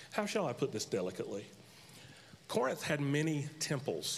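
This man speaks with an American accent at a moderate pace. His voice sits fairly high. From North Carolina. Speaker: pastor. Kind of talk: sermon. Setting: church. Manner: humorous, joking.

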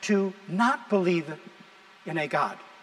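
Noticeable background noise fills the recording. Through it comes a man's high-pitched voice. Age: 60s. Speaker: pastor. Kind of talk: sermon. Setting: church.

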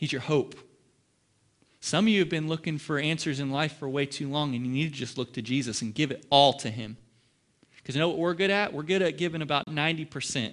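Speaking very fast with a Midwestern US accent, a man shows ordinary pitch variation against a quiet background. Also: fairly high pitch for a man. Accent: US Midwest. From Ohio. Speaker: pastor. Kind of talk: sermon. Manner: animated.

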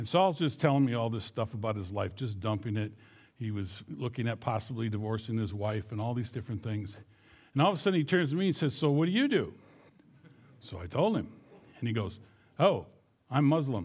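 With an American accent, a man at a medium pitch speaks fairly quickly with lively intonation, a somewhat breathy voice and long, frequent pauses, on a very clean recording with a silent background. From southern Minnesota. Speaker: missionary. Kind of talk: church mission presentation.

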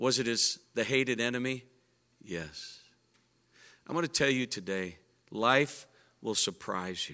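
On a very clean recording with a silent background, a man with a medium pitch and a bright, sharp, animated tone speaks at a fairly slow pace with lively intonation and long, frequent pauses. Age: 60s. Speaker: pastor. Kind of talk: sermon. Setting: church.

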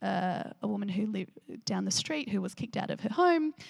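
A woman with an Australian accent. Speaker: pastor leading a church discussion. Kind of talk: sermon with group discussion. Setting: church gathering. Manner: animated, frequent laughter.

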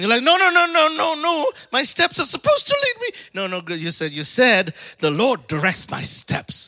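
Raising and projecting his voice, a man speaks at a moderate pace and an extremely high pitch, with very wide pitch swings and a dry, close sound with no echo. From Africa. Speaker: preacher. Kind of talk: sermon. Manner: animated.

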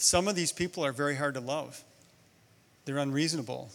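A man with an unremarkable speaking voice talks fairly quickly at a fairly high pitch. The recording is very clean, with a silent background. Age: 60s. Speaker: guest preacher. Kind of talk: sermon. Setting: church. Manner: conversational.

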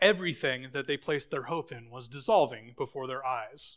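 A man with an American accent, fairly high in pitch, at a moderate pace with ordinary pitch variation. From Idaho, US. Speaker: pastor. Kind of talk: sermon. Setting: church.

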